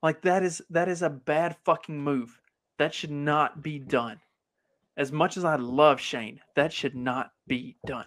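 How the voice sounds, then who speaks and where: In a very clean recording with a silent background, a man with an American accent and an unremarkable speaking voice talks at a fairly slow pace, his pitch fairly high and its variation ordinary. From US South, Kentucky. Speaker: podcast host. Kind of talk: casual chat.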